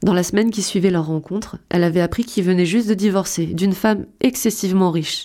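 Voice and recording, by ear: Someone is reading aloud in a natural voice.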